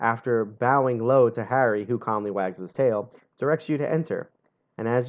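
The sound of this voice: Over a quiet background, the reading voice is unforced and the pitch variation ordinary.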